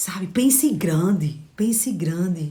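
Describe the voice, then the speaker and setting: Using a northeastern Brazilian accent, a woman speaks at a fairly low pitch. Her pace is very slow. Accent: drawling Northeastern Brazilian. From Northeast Brazil. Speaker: motivational coach. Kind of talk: motivational livestream talk. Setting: live stream. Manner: animated.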